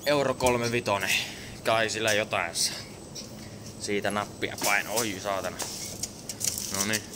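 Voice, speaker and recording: A man talks at a fairly slow pace while noticeable background noise runs beneath him. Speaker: vlogger. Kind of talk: casual vlog chat. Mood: loose, joking, crude. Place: shop. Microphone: phone near.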